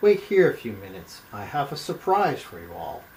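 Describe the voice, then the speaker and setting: A man puts on a gruff character voice. He speaks at a moderate pace with a fairly high pitch. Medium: read story. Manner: gruff, curt.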